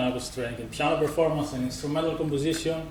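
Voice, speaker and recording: With a strong Greek accent, a man speaks in a fairly high pitch and a monotone, flat intonation, amid noticeable background noise and audible room echo. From Greece. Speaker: musician and composer. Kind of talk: conference presentation.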